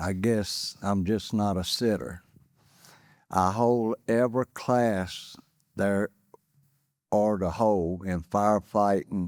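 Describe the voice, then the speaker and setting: In a North Carolina accent, the speaker goes very slowly with long, frequent pauses and fairly even intonation, in a very clean recording with a silent background and a dry, close sound with no echo. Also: man, fairly low pitch for a man. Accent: Southern US, North Carolina. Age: 60s. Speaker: political candidate, firefighter. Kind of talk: candidate forum opening statement.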